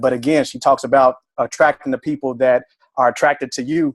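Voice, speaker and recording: Speaking at a moderate pace with a fairly high pitch, a man sounds passionate and animated in a dry, close recording with no echo. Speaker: fitness business coach. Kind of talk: team conference call. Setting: conference call. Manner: passionate, animated.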